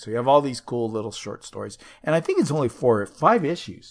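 A normal speaking voice with lively intonation moves at a fairly quick pace against a quiet background. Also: man. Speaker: podcast host. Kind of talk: casual banter chat.

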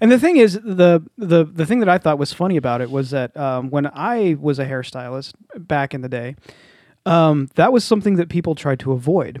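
This man has an ordinary speaking voice with a fairly high pitch. He talks at a moderate pace. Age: 30s. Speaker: podcast co-host. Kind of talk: casual chat.

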